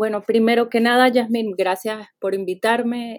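The recording is very clean with a silent background. A woman speaks at a moderate pace. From Venezuela. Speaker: literature professor. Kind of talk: interview. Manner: halting, many repeated words.

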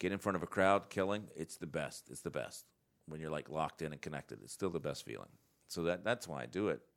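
Vocal fry at a fairly quick pace with ordinary pitch variation. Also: man. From North Carolina. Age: 40s. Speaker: comedian. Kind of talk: casual chat.

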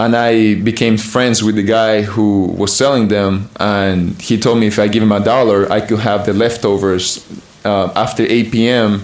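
A man with a Spanish accent speaks at a fairly low pitch in a flat monotone with very even loudness, amid noticeable background noise and audible room echo. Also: moderate pace. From Chile. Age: 20s. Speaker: American football player. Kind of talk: interview.

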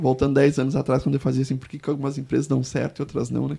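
A man's fairly high-pitched voice carries vocal fry and a dark, mellow tone. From Porto Alegre, southern Brazil. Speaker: business consultant. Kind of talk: interview.

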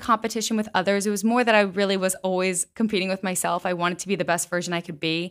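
Speaking very fast with an American accent, a woman talks at a medium pitch. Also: very clean recording, silent background. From Pennsylvania, US. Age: 20s. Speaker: podcast host. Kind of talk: personal testimony monologue.

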